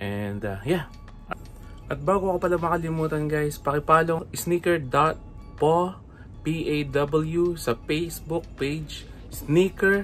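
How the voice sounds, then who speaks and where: Faint music plays in the background as a man talks at a very slow pace. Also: ordinary pitch variation. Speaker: sneaker vlogger. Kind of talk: casual vlog chat. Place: home room. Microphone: phone near.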